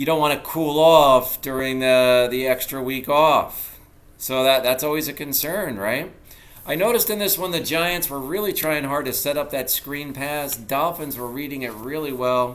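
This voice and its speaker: Audible room echo surrounds a man talking at a moderate pace with a fairly high pitch and ordinary pitch variation. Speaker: sports vlogger. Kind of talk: solo sports recap. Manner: casual, conversational.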